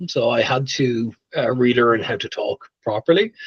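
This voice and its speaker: Speaking with an Irish accent, a man talks at a moderate pace in a dry, close recording with no echo. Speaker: tech leader. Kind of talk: interview. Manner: careful, planned speech.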